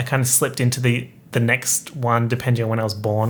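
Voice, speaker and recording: At a fairly quick pace, a man with an Australian accent speaks in a somewhat breathy voice. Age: 20s. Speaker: podcaster, YouTuber. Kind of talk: casual solo podcast monologue. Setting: home streaming room.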